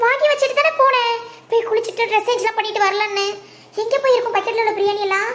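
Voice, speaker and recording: A woman's cartoonish character voice, extremely high-pitched, fairly quick and very even in loudness, with fairly even intonation. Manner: bossy, shrill.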